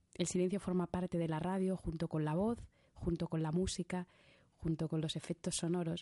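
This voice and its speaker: Against a quiet background, a woman with a fairly low pitch and a dark, mellow tone speaks at a moderate pace in a flat monotone, her loudness very even and the sound dry and close with no echo. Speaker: radio host. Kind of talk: radio interview. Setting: studio.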